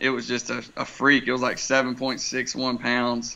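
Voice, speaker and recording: A man with an American accent talks fairly slowly at a medium pitch. His tone is bright and sharp, and his intonation is monotone and flat. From Wilmington, North Carolina (US South). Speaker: fishing charter captain. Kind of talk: casual interview about fishing.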